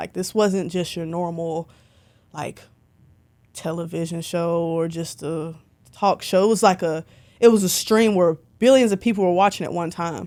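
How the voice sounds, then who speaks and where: A woman talks in a Southern US accent with ordinary pitch variation. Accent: Southern twang. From Alabama, Birmingham. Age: 20s. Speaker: concert photographer. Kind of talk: casual interview chat. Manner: animated.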